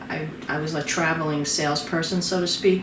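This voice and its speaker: A woman talks in a fairly low voice with fairly even intonation. Room echo is audible and background noise is noticeable. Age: 60s. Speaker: former financial salesperson. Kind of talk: documentary interview.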